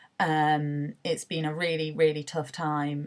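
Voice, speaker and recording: In a British accent, a woman speaks with a very deep, low pitch. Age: 20s. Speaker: university student sharing mental health story. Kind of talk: personal testimony. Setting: self-recorded video selfie. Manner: hesitant, many filler words.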